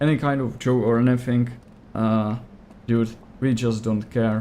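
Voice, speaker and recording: A man with a Czech accent, at a very slow pace. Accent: non-native English, Czech. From Czech Republic. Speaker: gaming streamer. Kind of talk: live gameplay commentary. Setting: livestream. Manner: casual, hesitant with fillers.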